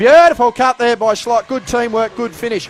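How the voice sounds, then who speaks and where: There is noticeable background noise, though the sound is dry and close with no echo. A man with a high pitch talks at a fairly quick pace. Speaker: basketball commentator. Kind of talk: live sports play-by-play commentary.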